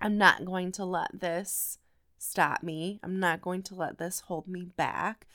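Over a very clean recording with a silent background, a woman speaks very slowly at medium pitch in a monotone, flat intonation, with big swings in loudness. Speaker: podcast host and life coach. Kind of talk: solo motivational podcast talk. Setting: at home, family asleep. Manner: loud talker.

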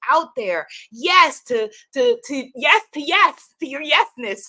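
Raised and projected, a woman's voice comes across animated and energetic, with a bright, sharp tone. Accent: New York. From New York. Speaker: spiritual teacher and online host. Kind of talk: inspirational live talk. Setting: live stream with online audience. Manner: animated, energetic.

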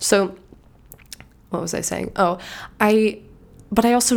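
This is a woman's voice. She is soft-spoken. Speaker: podcast host. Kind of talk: casual solo monologue. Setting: home recording.

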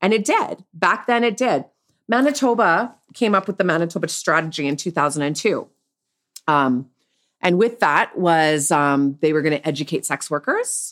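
A woman with a plain, everyday voice, fairly low in pitch, with lively intonation at a moderate pace, in a very clean recording with a silent background. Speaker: sex worker. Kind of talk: casual interview, telling personal story.

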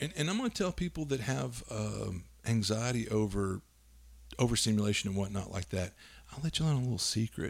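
Fairly low in pitch, a man talks at a fairly quick pace with lively intonation. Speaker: tabletop game podcast co-host. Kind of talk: casual chat. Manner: loud, voice projects and carries; halting, many fillers.

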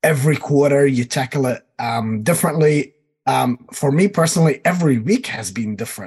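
A somewhat breathy man with a fairly high pitch speaks with lively intonation. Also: fairly quick pace. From New Zealand. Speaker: executive MBA student, supply chain analytics manager. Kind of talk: interview.

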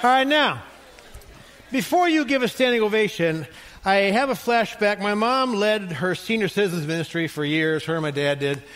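Speech at a moderate pace swings very widely in pitch over noticeable background noise. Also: man, high pitch for a man. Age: 60s. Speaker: pastor. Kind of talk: sermon. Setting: church.

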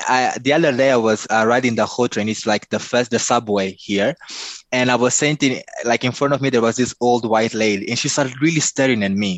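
With a Mozambican accent, a man talks at a fairly quick pace and medium pitch, his loudness very even and his intonation fairly even. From Mozambique. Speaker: life coach and speaker. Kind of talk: interview.

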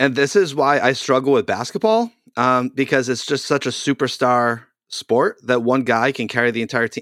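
A man with an American accent uses an unremarkable speaking voice at a medium pitch, moving at a moderate pace with ordinary pitch variation. The very clean recording has a silent background and a dry, close sound with no echo. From US Northeast (Boston area). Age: 40s. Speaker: podcast host, youth pastor. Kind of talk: casual interview.

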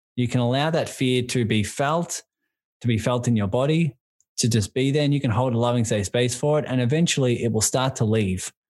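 In a very clean recording with a silent background, a man with an Australian accent speaks fairly quickly in a warm, enthusiastic tone, at a medium pitch with ordinary pitch variation and very even loudness. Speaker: business and life coach. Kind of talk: casual interview.

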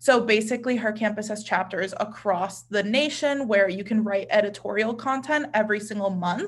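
Here is a woman with an ordinary speaking voice, pitched fairly high. She keeps a moderate pace with ordinary pitch variation. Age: 20s. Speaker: influencer marketing professional. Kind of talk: casual interview.

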